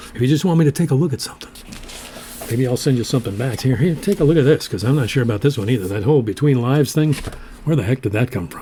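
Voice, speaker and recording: Noticeable background noise sits behind a man speaking at a very fast pace with medium pitch and lively intonation. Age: old. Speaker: poetry show host. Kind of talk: casual chat.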